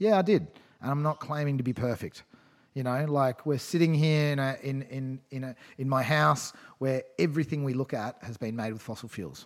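With an Australian accent, a man talks in an animated tone at medium pitch with ordinary pitch variation. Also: moderate pace. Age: 30s. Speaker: environmental campaigner. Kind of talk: casual chat.

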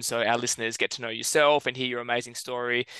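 Very fast and monotone, a man speaks at medium pitch with an Australian accent. His tone is bright and sharp, and the sound is dry and close with no echo. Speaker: podcast co-host. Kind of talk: casual chat.

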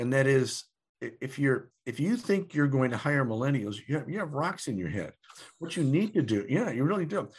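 Against a quiet background, a man with a fairly high, somewhat breathy voice swings his pitch very widely. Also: moderate pace. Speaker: demographer and futurist. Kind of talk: interview. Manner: halting, many fillers and repetitions.

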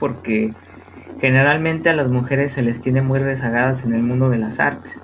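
A man at medium pitch and a moderate pace, monotone and flat in intonation, very even in loudness, with noticeable background noise. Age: 20s. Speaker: psychology student and guest lecturer on art history. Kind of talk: casual educational talk.

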